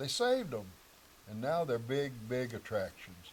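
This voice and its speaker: Somewhat breathy, a man with an Ozarks accent talks at a moderate pace with ordinary pitch variation. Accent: rural Ozarks Southern US. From Missouri Ozarks. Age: 80s+. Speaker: local elder interviewee. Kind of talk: interview storytelling.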